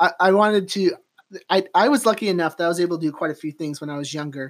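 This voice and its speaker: The speaker is a man. His pitch is high. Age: 30s. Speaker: podcast host and realtor. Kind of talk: casual interview chat. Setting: guest's office.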